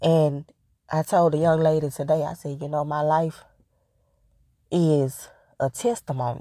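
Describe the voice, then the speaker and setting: Fairly even intonation at a fairly slow pace, broken by long, frequent pauses. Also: woman, very deep, low pitch for a woman. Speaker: devotional podcaster. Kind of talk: devotional talk. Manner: casual, laughing often.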